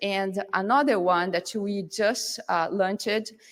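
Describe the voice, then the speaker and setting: A woman with a Brazilian Portuguese accent speaks at a fairly slow pace and a medium pitch, with ordinary pitch variation. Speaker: field application scientist. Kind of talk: conference presentation. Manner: halting, many fillers.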